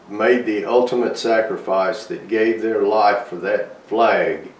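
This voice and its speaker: A man speaks amid noticeable background noise. Audible room echo is present. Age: 70s. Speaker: army veteran. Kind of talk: interview testimony. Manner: halting.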